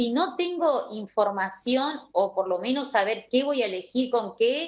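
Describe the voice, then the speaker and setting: A woman's high voice, lively in intonation and very even in loudness, at a fairly slow pace. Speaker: gynecologist. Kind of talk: interview on live radio stream.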